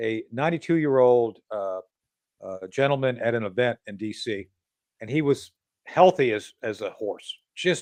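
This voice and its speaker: Against a quiet background, a man with a normal speaking voice talks at a moderate pace and medium pitch, his intonation lively and his loudness swinging widely. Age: 60s. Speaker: political talk show host. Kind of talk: podcast interview.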